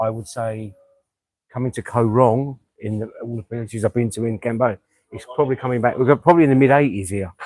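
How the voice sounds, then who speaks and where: Speaking fairly quickly with a London accent, a man at a medium pitch keeps his intonation fairly even while his loudness swings widely. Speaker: expat friend. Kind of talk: casual chat. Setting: outdoors. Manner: fast.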